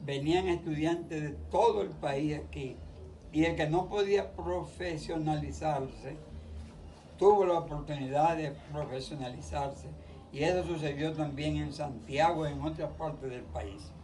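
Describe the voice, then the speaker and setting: A man speaks at a fairly slow pace. Audible room echo and noticeable background noise surround him. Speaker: interviewee. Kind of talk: interview.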